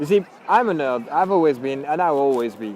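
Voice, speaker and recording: With lively intonation, a man speaks in a French accent against noticeable background noise. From France. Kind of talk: casual talk to camera.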